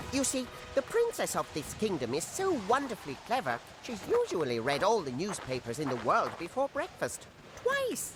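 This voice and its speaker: A cartoonish character voice speaks at a moderate pace. Background noise is clear. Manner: chatty, with cawing "gra" sounds and chuckles.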